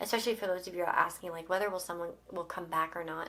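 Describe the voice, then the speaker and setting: A woman speaks at a very fast pace with a fairly low pitch. Her intonation stays monotone and flat. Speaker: tarot reader. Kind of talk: tarot card reading to camera. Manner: casual, hesitant with fillers.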